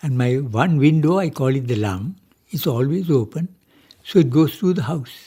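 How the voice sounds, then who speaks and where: Somewhat breathy and dark, mellow in tone, a man speaks at a fairly high pitch. His pace is moderate and his intonation lively. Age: 80s+. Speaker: retired marine engineer and music pioneer. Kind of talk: radio interview.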